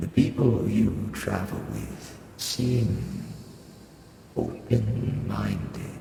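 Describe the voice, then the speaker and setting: A man puts on a character voice at a very slow pace. Clear background noise and a clear echo fill the recording. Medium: actual play. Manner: formal, calm, archaic phrasing.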